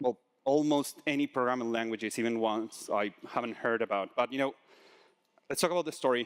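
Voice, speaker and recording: A man speaks at a fairly quick pace and medium pitch with a Spanish accent. The sound is dry and close, with no echo. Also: ordinary pitch variation. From Argentina. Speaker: conference speaker, solutions engineer. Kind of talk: conference talk. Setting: stage with audience. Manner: animated, talks with hands.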